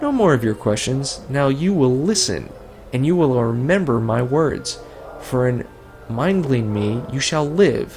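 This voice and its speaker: A raspy, hissing put-on character voice speaks at a fairly slow pace. Background noise is clearly audible. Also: man, medium pitch for a man. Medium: actual play. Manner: odd inverted word order, hissing.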